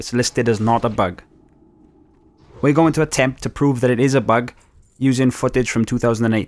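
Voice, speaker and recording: A man with a Welsh accent talks at a moderate pace and medium pitch, his intonation fairly even. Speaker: gaming youtuber. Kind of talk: gameplay commentary. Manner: casual, conversational.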